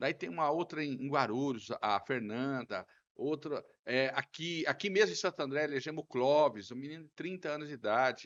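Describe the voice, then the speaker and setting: With an ordinary speaking voice, a man talks at a moderate pace and fairly high pitch with lively intonation. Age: 60s. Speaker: city councillor, politician. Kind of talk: podcast interview.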